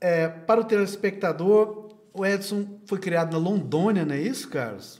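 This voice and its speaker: A man talks with a high pitch and ordinary pitch variation. His pace is fairly slow. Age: 60s. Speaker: videocast host. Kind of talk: interview.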